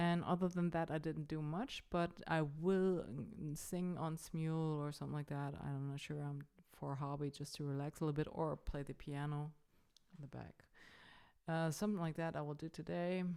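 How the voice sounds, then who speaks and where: With a German accent, a woman speaks in a very deep, low pitch and a dark, mellow tone, her intonation fairly even. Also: moderate pace. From Germany. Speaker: vlogger. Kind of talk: casual vlog. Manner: halting, many fillers.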